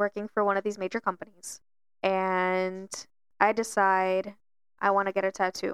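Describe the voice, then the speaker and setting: A woman's medium-pitched, flat monotone at a moderate pace, with very even loudness, long, frequent pauses and a dry, close sound with no echo. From Miami. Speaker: podcast co-host. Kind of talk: casual chat.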